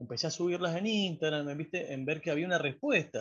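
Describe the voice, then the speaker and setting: A man with an Argentine accent talks at a fairly quick pace over a quiet background. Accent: Argentine Spanish (voseo). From Argentina. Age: 40s. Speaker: painter and graphic designer. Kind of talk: casual interview.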